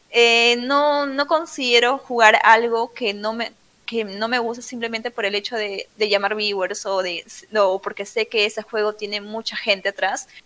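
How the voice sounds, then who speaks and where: A woman with a plain, everyday voice speaks at a fairly slow pace, her fairly high pitch held in fairly even intonation. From Peru, Trujillo. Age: 20s. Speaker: streamer. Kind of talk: interview.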